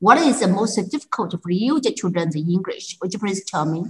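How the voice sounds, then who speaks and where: With a Chinese accent, a woman speaks in a somewhat breathy voice with lively intonation. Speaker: English teacher and podcast host. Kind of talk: casual interview. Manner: halting, many fillers.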